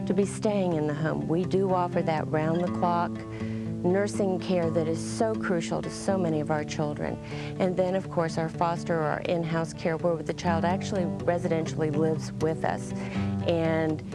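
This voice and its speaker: Music plays behind a woman who speaks at a moderate pace with very even loudness and hardly any pauses. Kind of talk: interview answer. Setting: studio.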